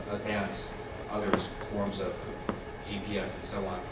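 A man's voice amid loud background noise, with audible room echo. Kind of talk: public speech. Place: hall.

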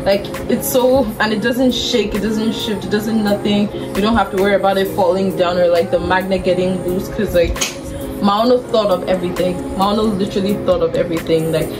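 With clear music in the background, a woman talks at a fairly quick pace. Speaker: product reviewer. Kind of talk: casual review chat. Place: home room. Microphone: lapel.

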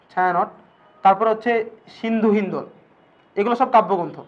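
This is a man with a high pitch. His intonation stays fairly even. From Bangladesh. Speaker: teacher. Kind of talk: lecture. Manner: casual, conversational.

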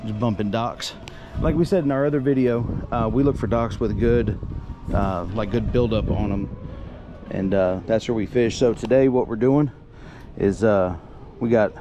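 A man at a moderate pace, ordinary pitch variation, long and frequent pauses, and music in the background. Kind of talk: casual fishing tutorial commentary. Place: boat. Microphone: phone near.

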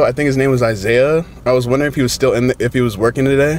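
Against light background noise, a man's voice comes through dry, with no echo. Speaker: prank vlogger. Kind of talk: casual vlog chat. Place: car. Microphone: camera far.

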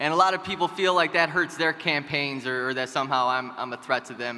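Talking at a fairly quick pace, a man uses ordinary pitch variation. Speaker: party chair candidate; candidate. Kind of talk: debate speech. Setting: stage with audience. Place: hall. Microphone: podium.

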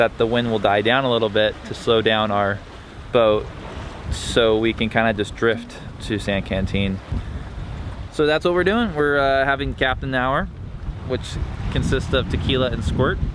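A man speaks at a moderate pace with ordinary pitch variation and long, frequent pauses. The sound is dry with no echo, over noticeable background noise. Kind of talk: casual vlog chat. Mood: relaxed, laid-back. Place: boat. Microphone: phone near.

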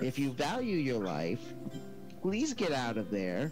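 Someone does a put-on character voice at a fairly slow pace. Loud music plays in the background. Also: man, medium pitch for a man. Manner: chatty, eager, flustered.

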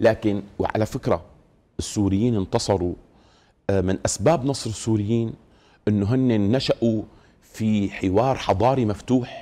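The speaker is a man with a fairly low pitch. His pitch moves in an ordinary way. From Syria, Damascus. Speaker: Islamic scholar, mufti committee head; guest. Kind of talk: TV studio interview on religion; interview answer. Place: studio. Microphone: lapel.

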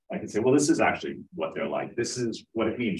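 Speaking at a very fast pace, a man talks with a New York accent. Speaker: film producer and CEO. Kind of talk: conference talk. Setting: stage with audience.

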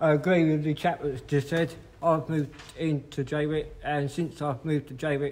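Here a man with a fairly high pitch and a slightly mellow tone speaks with little pitch movement. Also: moderate pace.

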